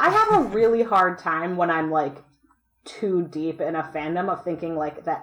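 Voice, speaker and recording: A woman with a normal speaking voice, fairly low in pitch, with ordinary pitch variation and a moderate pace. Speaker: convention organizer.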